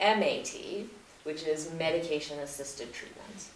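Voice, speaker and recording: A fairly low-pitched woman talks at a moderate pace with ordinary pitch variation, amid audible room echo and noticeable background noise. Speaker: healthcare regional director. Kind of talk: presentation to public meeting. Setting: town meeting with audience.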